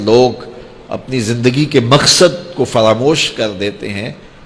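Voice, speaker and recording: A man with lively intonation and a medium pitch is heard over noticeable background noise. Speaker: Islamic preacher. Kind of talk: religious sermon (bayan). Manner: emotional, earnest.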